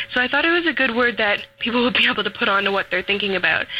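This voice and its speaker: A woman talks while noticeable background noise carries through the clip. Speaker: caller. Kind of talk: casual opinion. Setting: phone call.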